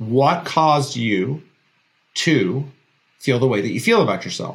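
A man speaks at a fairly slow pace in a fairly high, somewhat breathy voice with lively intonation. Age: 40s. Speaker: podcast host. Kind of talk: motivational monologue.

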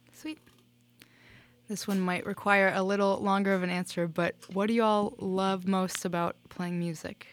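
A woman talks at a moderate pace in a medium pitch. She has an ordinary speaking voice. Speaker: radio host. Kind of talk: radio DJ patter, station ID and chatty interview banter. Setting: studio. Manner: upbeat, bubbly, casual, punctuated by laughs and 'sweet'.

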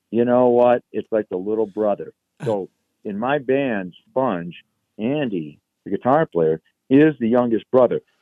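A plain, everyday voice with an American accent. The pace is fairly slow, with ordinary pitch variation. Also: man, medium pitch for a man. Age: 60s. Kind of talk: casual interview.

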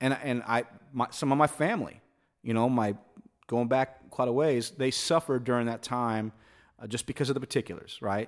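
In a very clean recording with a silent background, a man with an ordinary speaking voice and medium pitch talks at a fairly quick pace with fairly even intonation. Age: 40s. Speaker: musician. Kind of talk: casual chat. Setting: home recording studio.

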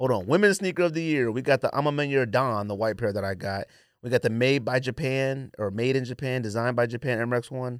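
This man has a normal speaking voice, pitched in the medium range. He moves along at a fairly quick rate, and his pitch varies in an ordinary way. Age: 40s. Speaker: sneaker podcast host. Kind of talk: casual chat.

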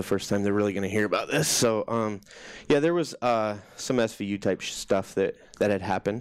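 An unremarkable speaking voice with an American accent moves at a fairly quick pace. The recording is very clean, with a silent background. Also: man. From US Midwest (Des Moines, Iowa). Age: 30s. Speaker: army veteran. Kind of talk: personal testimony in interview.

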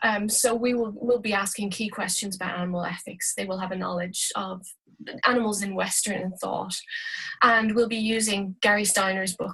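Flat, monotone intonation marks this fairly quick speech in an Irish accent. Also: woman. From Ireland, Dublin. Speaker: university lecturer. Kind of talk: interview. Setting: video call.

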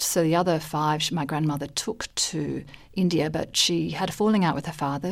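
In a very clean recording with a silent background, a woman speaks at a fairly low pitch. She talks with an Australian accent. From Malaysia and Australia. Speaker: diplomat. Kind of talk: radio interview. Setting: studio. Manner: hesitant, many fillers.

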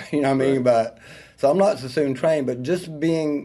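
The voice carries a Southern US accent with a dark, mellow tone. Its pitch varies in an ordinary way. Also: man. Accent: Southern US country. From US South, rural North Georgia. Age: 50s. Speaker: hairstylist and salon owner. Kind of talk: interview.

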